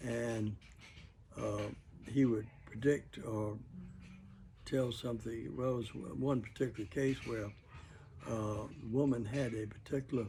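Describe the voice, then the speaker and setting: A man talks at a fairly slow pace and medium pitch, his tone dark and mellow and somewhat breathy. His intonation stays fairly even, broken by long, frequent pauses. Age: 80s+. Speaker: World War II veteran. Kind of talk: interview answer. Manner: hesitant, rambling.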